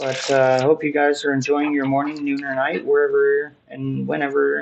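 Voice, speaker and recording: This man has an ordinary speaking voice, a fairly high pitch, fairly even intonation and a moderate pace. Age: 30s. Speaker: tarot reader. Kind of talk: tarot reading. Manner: casual, with many fillers.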